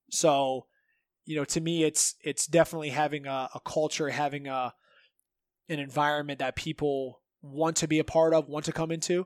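In an American accent, a man with a fairly high pitch speaks at a moderate pace in a monotone, flat intonation, the sound dry and close with no echo on a very clean recording with a silent background. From Northeast Ohio. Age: 30s. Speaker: jiu-jitsu coach and gym owner. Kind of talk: casual chat.

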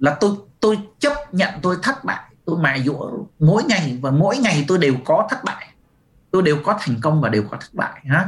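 At a fairly slow pace, a man with a high voice makes very wide pitch swings. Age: 50s. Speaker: business coach and author. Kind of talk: webinar talk. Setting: webinar video call.

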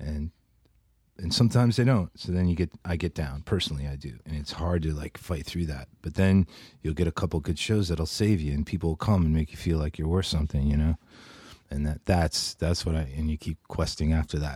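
Recorded very cleanly against a silent background, a man with an American accent and a very deep, low pitch speaks at a fairly quick pace in a dark, mellow, somewhat breathy tone with ordinary pitch variation, the sound dry and close with no echo. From United States. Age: 50s. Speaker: singer-songwriter. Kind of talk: casual chat.

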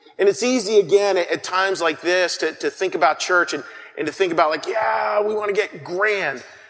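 A man talks at a high pitch while noticeable background noise fills the recording. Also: ordinary pitch variation, moderate pace. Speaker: pastor. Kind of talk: sermon. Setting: church.

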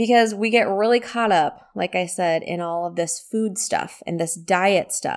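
Against a silent background in a very clean recording, a woman uses a plain, everyday voice at medium pitch with ordinary pitch variation. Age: 40s. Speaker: wellness podcast host and coach. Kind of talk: solo podcast talk. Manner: conversational.

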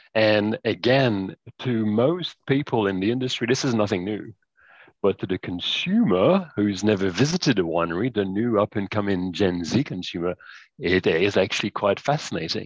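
A man speaks in a normal speaking voice at a moderate pace, his fairly low pitch showing ordinary variation, with a dry, close sound free of echo and a quiet background. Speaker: wine tech founder. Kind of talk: casual chat.

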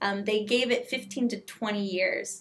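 This woman speaks at a medium pitch with ordinary pitch variation, in an ordinary speaking voice. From Southern California. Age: 30s. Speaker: patient advocate. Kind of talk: interview.

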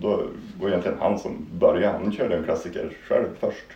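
The speech runs at a very fast pace with audible room echo. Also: man. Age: 30s. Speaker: amateur long-distance cross-country skier. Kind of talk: casual interview.

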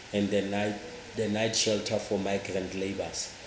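Background noise is noticeable throughout. The voice heard is a man's. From South Africa. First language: a Southern African language, not English. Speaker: church minister and NGO worker. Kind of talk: interview. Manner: halting, with frequent repetitions.

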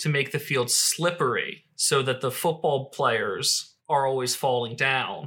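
A man's fairly high, bright, sharp voice at a fairly slow pace, with hardly any pauses, fairly even intonation and very even loudness, on a very clean recording with a silent background. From US Northeast. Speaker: podcast co-host. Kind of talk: casual chat.

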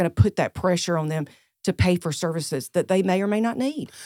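Talking at a very fast pace in a Southern US accent, the woman uses very wide pitch swings around a fairly low pitch. The sound is dry and close with no echo. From US South (South Carolina). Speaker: senior living facility director. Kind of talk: casual interview.

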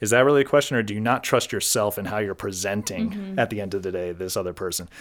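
The delivery is energetic and very fast. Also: man, fairly low pitch for a man, ordinary pitch variation. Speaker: podcast guest, senior chief deputy district attorney. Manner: fast talker; loud, talks over people.

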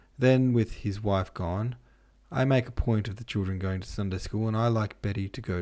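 With ordinary pitch variation, the voice is an unforced reading voice.

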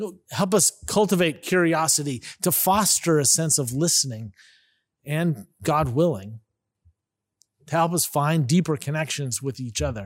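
In an ordinary speaking voice, a man with an American accent and a fairly high pitch talks at a fairly slow pace with lively intonation, on a very clean recording with a silent background. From California Bay Area. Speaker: pastor. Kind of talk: sermon.

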